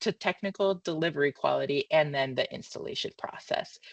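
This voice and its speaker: A woman speaks at a fairly quick pace with ordinary pitch variation. The sound is dry and close with no echo, over a quiet background. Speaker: marketing consultant. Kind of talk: presentation of findings. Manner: fast; halting, many fillers.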